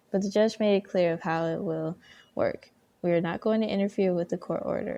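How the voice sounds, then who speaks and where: A soft-spoken woman talks in a calm tone at a moderate pace. The background is quiet. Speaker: ASMR content creator. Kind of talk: ASMR Reddit story reading. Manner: soft-spoken, calm.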